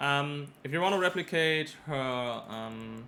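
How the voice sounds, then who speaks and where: The man's voice has a bright, sharp tone and a fairly high pitch. His pitch variation is ordinary. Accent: non-native. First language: not English. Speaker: gaming YouTuber. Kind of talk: gameplay tutorial. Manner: halting, many fillers.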